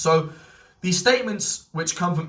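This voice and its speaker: Noticeable background noise and audible room echo. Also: man. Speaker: history video creator. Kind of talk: lecture. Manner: halting.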